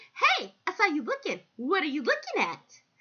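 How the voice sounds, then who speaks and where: An extremely high, put-on character voice with very wide pitch swings at a moderate pace. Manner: flamboyant, confrontational.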